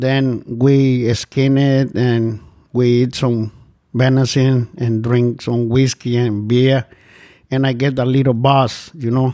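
A man's medium-pitched voice, dark and mellow in tone, at a very slow pace with very even loudness and monotone, flat intonation. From Guatemala. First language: Spanish. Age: 50s. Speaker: shelter resident in recovery. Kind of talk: personal testimony. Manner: halting, non-native grammar.

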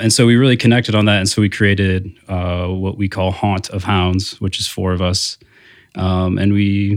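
This man with an American accent talks at a moderate pace and fairly low pitch, on a very clean recording with a silent background. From Indiana, South Bend. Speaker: entrepreneur and restaurant co-owner. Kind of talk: interview. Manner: hesitant, many fillers.

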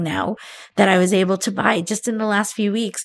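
An unremarkable speaking voice talks at a moderate pace with fairly even intonation. The recording is very clean, with a silent background. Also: woman. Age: 50s. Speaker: life coach. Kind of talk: podcast interview.

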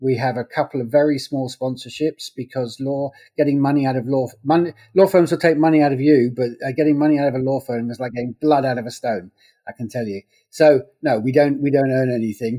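Dry and close with no echo, this recording has a man speaking with an English accent at a fairly quick pace. His tone is dark and mellow, his pitch medium, his intonation fairly even. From England. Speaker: legal news publisher. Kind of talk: interview. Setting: remote call.

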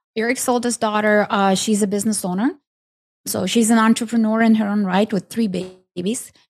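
Her voice is somewhat breathy, with fairly even intonation. The woman is recorded very cleanly against a silent background. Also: fairly quick pace. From Ukraine. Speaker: business entrepreneur. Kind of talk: interview conversation. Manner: halting.

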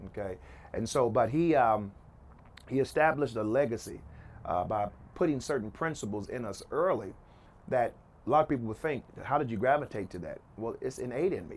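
With lively intonation and big swings in loudness, a man at a medium pitch speaks with long, frequent pauses. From Oklahoma City. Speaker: entrepreneur and preacher. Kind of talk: interview. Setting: rooftop of his house.

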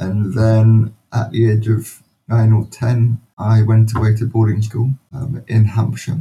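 A somewhat breathy man with a London accent, monotone and flat, at a very slow pace. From London, England. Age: 40s. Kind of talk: interview.

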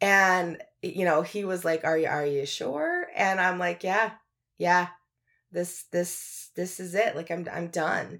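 Very slowly, a woman speaks with fairly low pitch and fairly even intonation. The recording is very clean, with a silent background. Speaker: podcast host. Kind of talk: solo reflective monologue. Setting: home recording with mic. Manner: candid, emotional, conversational.

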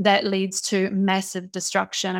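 In a very clean recording with a silent background, a woman with a New Zealand accent speaks at a medium pitch. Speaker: impact investor and entrepreneur. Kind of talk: interview.

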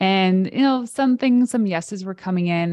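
A woman's unremarkable speaking voice in a Canadian accent, medium in pitch with ordinary pitch variation, at a moderate pace against a quiet background. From Canada. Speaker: PR expert and entrepreneur. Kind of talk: casual interview.

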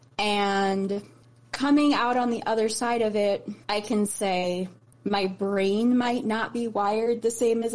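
Here is a woman with a Midwestern American accent and a fairly high pitch. She talks fairly slowly, with ordinary pitch variation. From US Midwest (Chicago/Indiana). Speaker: guest sharing mental health story. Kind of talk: testimony.

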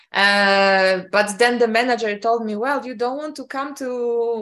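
The speech comes in a Polish accent. Its pace is fairly slow. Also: woman. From Poland. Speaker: entrepreneur and mixologist. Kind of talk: interview.

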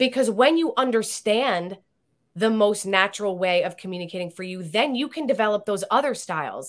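An unremarkable speaking voice from a woman, medium in pitch, with lively intonation at a moderate pace, on a very clean recording with a silent background. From Italian-American family. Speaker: author and communication coach. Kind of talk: interview.

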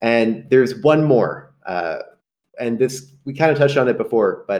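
Speaking at a fairly slow pace, a man keeps his pitch in the medium range. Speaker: AI software company representative. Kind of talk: interview. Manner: animated.

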